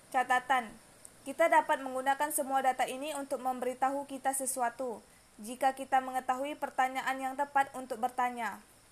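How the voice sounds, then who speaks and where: At a fairly quick pace, a woman speaks in a high pitch with monotone, flat intonation. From Riau Islands, Indonesia. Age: young. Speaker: university student. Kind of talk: class assignment presentation read aloud. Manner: reading from script.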